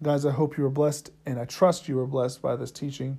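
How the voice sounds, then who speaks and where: Somewhat breathy, with a dark, mellow tone, a man speaks at a moderate pace and a fairly high pitch. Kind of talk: sermon. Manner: earnest, teacherly preaching cadence with repeated phrases and call-and-response; fervent, emphatic, driving each point home by repetition.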